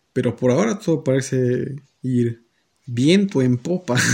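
The voice has a dark, mellow tone and a Mexican accent. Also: man. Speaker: podcast host. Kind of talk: casual chat.

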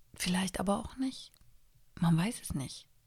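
A woman's calm, somewhat breathy voice at medium pitch. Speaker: podcast host. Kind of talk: casual solo monologue.

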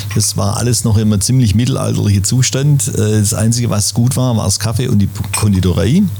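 Music plays in the background as a man with a fairly low voice speaks at a fairly quick pace amid audible room echo. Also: fairly even intonation, very even loudness. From Schwäbisch Gmünd, Swabia, southern Germany. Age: 60s. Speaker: café owner. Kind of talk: casual interview chat. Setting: in a café.

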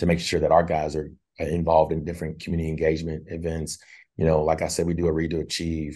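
Very deep, low male voice, dark and mellow, in an Arkansas accent, flat and monotone, over a quiet background. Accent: US South (Arkansas). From Northwest Arkansas. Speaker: basketball assistant coach, former NBA player. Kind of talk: interview.

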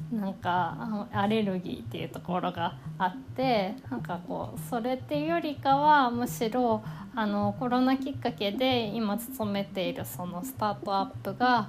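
A woman at a medium pitch and a moderate pace, with very wide pitch swings. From Kanagawa, Japan. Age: 30s. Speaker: podcaster. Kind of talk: self-introduction monologue. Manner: halting.

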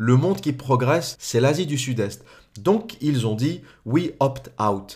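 Somewhat breathy man at medium pitch, lively intonation and a very slow pace. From France. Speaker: political commentator. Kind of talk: monologue commentary.

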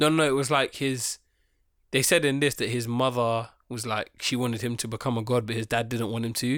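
In a very clean recording with a silent background, a man with a plain, everyday voice talks fairly quickly at a medium pitch with fairly even intonation. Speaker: podcast co-host. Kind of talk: casual chat.

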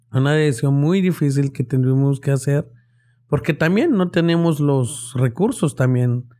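A man's fairly high-pitched voice, dark and mellow in tone, at a fairly slow pace and very even loudness, on a very clean recording with a silent background. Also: ordinary pitch variation. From Guatemala (Quetzaltenango highlands). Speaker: young restaurant owner and entrepreneur. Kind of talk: casual interview chat.

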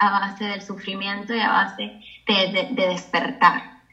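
A woman talks at a fairly slow pace, with audible room echo and noticeable background noise. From Cuba. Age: 30s. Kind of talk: testimony.

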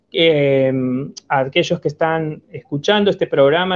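In an ordinary speaking voice, a man with a fairly high pitch talks at a fairly slow pace with ordinary pitch variation. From Argentina. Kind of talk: radio interview.

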